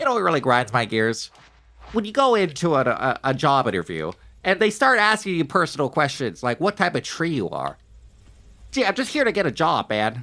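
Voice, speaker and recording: In a put-on character voice, a man speaks fairly quickly at a fairly high pitch, nasal and guttural, with very wide pitch swings, on a very clean recording with a silent background. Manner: comically dim, complaining.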